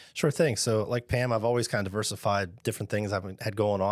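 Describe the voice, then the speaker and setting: With an American accent, a man in an unremarkable speaking voice talks at a fairly quick pace and a fairly low pitch, his pitch variation ordinary, over a very clean recording with a silent background. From southwestern Pennsylvania. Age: 50s. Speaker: small business owner. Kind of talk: casual interview.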